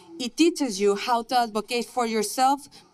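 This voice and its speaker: A woman with a fairly high voice speaks with a Mexican accent. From Mexico. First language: Spanish. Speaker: nursing graduate. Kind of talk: commencement speech. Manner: formal.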